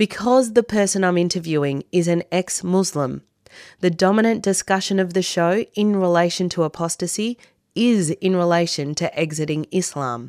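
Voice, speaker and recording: The recording is very clean with a silent background and a dry, close sound with no echo as a woman speaks in an ordinary speaking voice at a moderate pace, fairly low in pitch with ordinary pitch variation. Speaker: radio host. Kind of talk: radio interview with scripted intro. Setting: studio.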